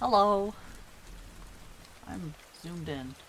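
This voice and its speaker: Someone speaks in a soft-spoken manner. Noticeable background noise runs under the voice. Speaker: streamer and artist. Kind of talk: casual live stream chat. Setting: live stream. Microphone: adjusted mic settings, may be too quiet.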